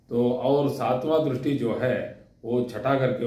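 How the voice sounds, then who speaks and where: With a non-native accent and fairly even intonation, a man speaks over noticeable background noise in audible room echo. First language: not Hindi (speaking Hindi). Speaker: astrology teacher. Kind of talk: lecture. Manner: halting, with fillers.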